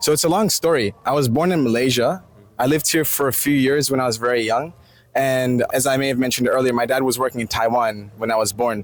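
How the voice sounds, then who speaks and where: Speaking very fast with an American accent, a man uses a medium pitch and ordinary pitch variation amid noticeable background noise. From United States. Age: 20s. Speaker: interviewee. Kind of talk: casual interview.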